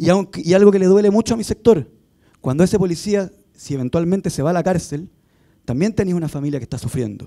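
A man with a high pitch, a dark, mellow tone, ordinary pitch variation, a very fast pace and a quiet background. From Chile. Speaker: politician. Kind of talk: panel talk. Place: hall. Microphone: handheld.

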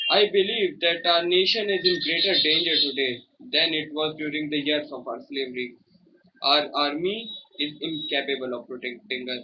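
A man's voice swings very widely in pitch over light background noise. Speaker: speech trainee. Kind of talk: prepared speech. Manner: very slow. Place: home room. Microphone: phone near.

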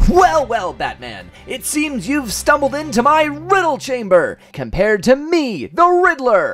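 Faint music plays in the background. A man uses a put-on character voice at a fairly slow pace. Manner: gleeful, taunting.

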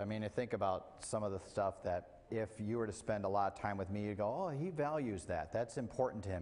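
A man with a fairly low voice talks at a moderate pace. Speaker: preacher. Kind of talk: sermon. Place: church.

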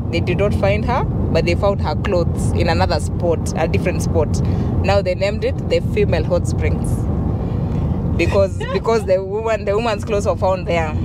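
A woman speaks at a moderate pace. The sound is dry with no echo, and there is loud background noise. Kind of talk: storytelling. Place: car. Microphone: handheld.

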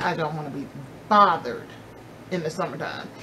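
Over noticeable background noise, a woman speaks at a fairly quick pace with ordinary pitch variation. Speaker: beauty vlogger. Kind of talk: casual vlog chat. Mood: cheerful, excited about fall. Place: home room. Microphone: phone near.

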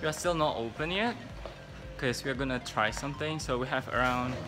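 The speech moves at a fairly quick pace with ordinary pitch variation. Clear music plays in the background. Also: man. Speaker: restaurant staff vlogger. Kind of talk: casual vlog chat. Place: cafe. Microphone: phone near.

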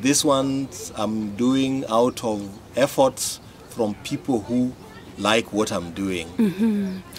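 A man talks at a very slow pace, his medium-pitched voice carrying lively intonation. Light background noise sits behind him. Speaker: interpreter; development consultant. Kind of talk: interpreted interview answer. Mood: earnest, heartfelt. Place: garden. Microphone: camera far.

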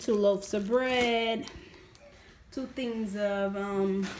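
Audible room echo surrounds a woman speaking at a very slow pace. Her pitch is fairly high, with ordinary pitch variation.

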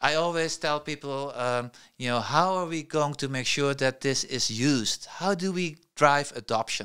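Bright and sharp in tone, a man's voice moves with ordinary pitch variation. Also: quiet background. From Netherlands. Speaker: tech entrepreneur; podcast guest. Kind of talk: interview. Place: studio. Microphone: studio mic.

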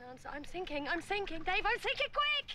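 In a put-on character voice, a woman speaks at an extremely high pitch with big pitch swings and a bright, sharp tone. Her pace is fairly quick, and faint background noise can be heard.

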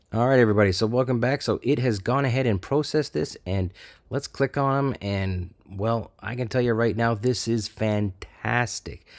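A man with an ordinary speaking voice at medium pitch, on a very clean recording with a silent background. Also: ordinary pitch variation, moderate pace, hardly any pauses. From Canada. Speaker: AI art tutorial YouTuber. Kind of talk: screen-recorded tutorial. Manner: casual, conversational.

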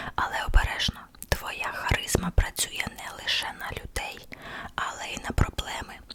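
Someone whispers in a playful tone at a fairly slow pace. Background noise is noticeable. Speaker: ASMR content creator. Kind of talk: ASMR horoscope reading. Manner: whispered, soft, playful.

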